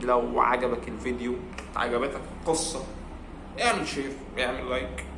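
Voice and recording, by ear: A man speaks with fairly even intonation. Audible room echo can be heard.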